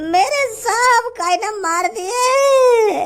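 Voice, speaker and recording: A squeaky put-on character voice at an extremely high pitch. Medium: cartoon. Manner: plaintive, rambling.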